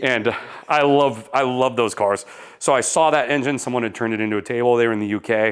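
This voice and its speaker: At a very fast pace, a man talks with a medium pitch and fairly even intonation. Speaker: car enthusiast vlogger and property developer. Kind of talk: casual vlog tour.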